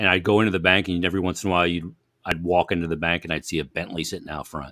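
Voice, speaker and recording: In a very clean recording with a silent background, a man with an American accent speaks at a very fast pace in a very deep, low pitch, his bright, sharp tone held to a monotone, flat intonation. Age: 50s. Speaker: hockey broadcaster. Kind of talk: casual chat.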